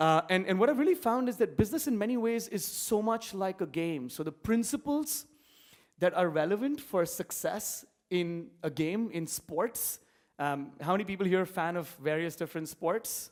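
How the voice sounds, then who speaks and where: A man's high-pitched voice with an Indian accent and lively intonation. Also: very clean recording, silent background. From India, Mumbai. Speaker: entrepreneur. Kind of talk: conference talk. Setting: stage with audience. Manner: fast.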